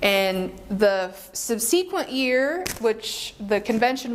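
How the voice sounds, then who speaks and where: Lively in intonation, a woman talks at a fairly high pitch and a fairly slow pace. Noticeable background noise is present. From Philippines. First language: Filipino. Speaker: teacher. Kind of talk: interview.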